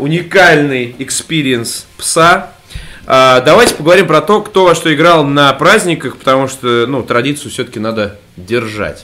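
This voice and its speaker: Noticeable background noise behind a man's fairly high-pitched voice, fairly slow in pace, with lively intonation. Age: 30s. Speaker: gaming podcast co-host. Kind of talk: casual chat. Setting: at home in a room under renovation. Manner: animated.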